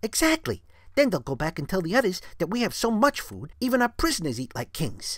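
Recorded very cleanly with a silent background, a put-on character voice at a middle pitch moves at a fairly quick pace. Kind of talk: read-aloud comic dub with character voices. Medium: read story.

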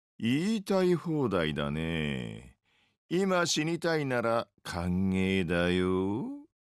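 A man's put-on character voice, fairly low in pitch, drawling at a very slow pace with very wide pitch swings, on a very clean recording with a silent background. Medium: dub. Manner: laid-back, drawling, sarcastic.

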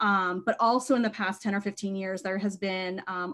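This is a woman with an American accent and a medium pitch. She has a normal speaking voice and a moderate pace. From Maine, US. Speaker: bookstore co-owner. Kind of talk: interview conversation.

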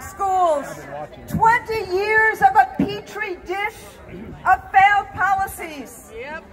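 Against crowd noise in the background, a woman speaks very slowly at an extremely high pitch. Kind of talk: rally speech. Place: street. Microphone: pa.

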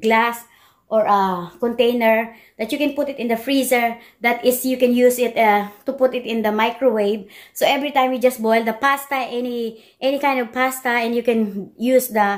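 The background is quiet. A woman speaks with a high pitch and fairly even intonation. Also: moderate pace. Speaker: home cooking vlogger. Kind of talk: casual vlog chat. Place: kitchen. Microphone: phone near.

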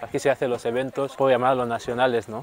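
Over light background noise, a man talks in a monotone, flat intonation, the sound dry with no echo. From Equatorial Guinea, Rebola (Bioko). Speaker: singer. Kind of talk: casual tour guide chat. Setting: outdoors. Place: street. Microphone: phone near.

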